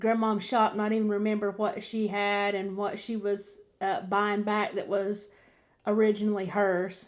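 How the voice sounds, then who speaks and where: Monotone, flat delivery in a Southern US accent at a moderate pace, on a very clean recording with a silent background. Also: woman, medium pitch for a woman. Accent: Southern US (Georgia). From Georgia, US South. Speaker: vlogger recounting jail experience. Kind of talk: personal storytelling.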